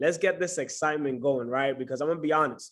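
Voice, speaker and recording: Talking at a very fast pace, a man with a New York accent uses a fairly high pitch and an animated tone. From New York City. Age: 20s. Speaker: trading mentor. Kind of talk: online class welcome and self-introduction.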